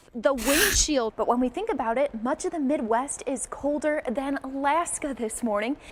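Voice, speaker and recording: The speaker's intonation is lively, with noticeable background noise behind it. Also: woman. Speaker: TV meteorologist. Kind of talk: TV weather montage.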